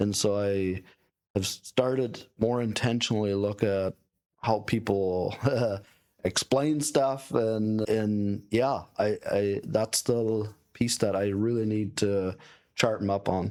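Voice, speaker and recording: A man talks very slowly in a fairly low voice, with fairly even intonation and very even loudness. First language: not English. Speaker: entrepreneur and podcast host. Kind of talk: casual podcast conversation.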